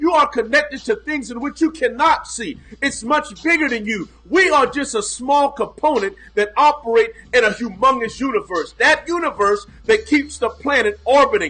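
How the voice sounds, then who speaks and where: A man's extremely high-pitched, raised and projected voice, animated in tone, with very wide pitch swings at a moderate pace. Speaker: pastor and mindset coach. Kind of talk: motivational livestream talk. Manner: loud.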